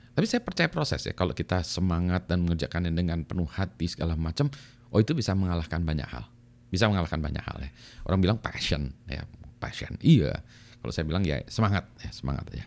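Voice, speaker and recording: Animated in tone, the speaker goes at a very fast pace with lively intonation. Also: man, very deep, low pitch for a man. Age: middle-aged. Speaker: YouTube vlogger. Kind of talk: casual monologue vlog.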